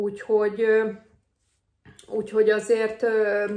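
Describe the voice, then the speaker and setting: A woman speaks at a fairly high pitch. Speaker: nurse vlogger. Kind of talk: advice vlog. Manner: casual, hesitant with fillers.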